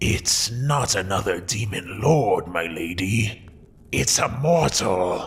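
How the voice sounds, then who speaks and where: Putting on a raspy character voice, a man speaks at a fairly low pitch and a very slow pace. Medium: audio drama. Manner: deferential.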